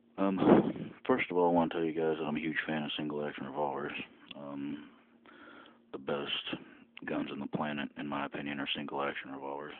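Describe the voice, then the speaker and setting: A man with a very deep, low pitch and monotone, flat intonation at a fairly quick pace, amid noticeable background noise. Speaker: gun reviewer. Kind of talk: product review vlog. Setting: home, late at night. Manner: casual, hesitant. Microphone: muffled sound, poor camera.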